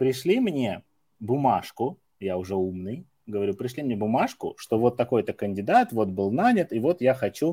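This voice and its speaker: With a dark, mellow tone and lively intonation, a man speaks at a moderate pace and medium pitch in a dry, close recording with no echo. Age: 30s. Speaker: recruitment trainer. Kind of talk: casual chat.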